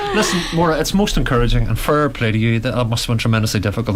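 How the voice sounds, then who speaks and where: Talking at a very fast pace with lively intonation, a man in a Derry accent holds a medium pitch over noticeable background noise. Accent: Northern Irish (Derry). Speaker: radio host. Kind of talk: radio interview.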